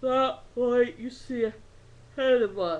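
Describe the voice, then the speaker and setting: A female-sounding voice puts on a character voice with a high pitch. It moves at a very slow pace. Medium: read story. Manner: weary, fussy.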